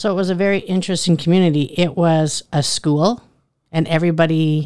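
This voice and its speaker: In a Canadian Prairies accent, a woman speaks with a very deep, low pitch and fairly even intonation. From Saskatchewan, Canada. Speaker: school principal and teacher. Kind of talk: interview.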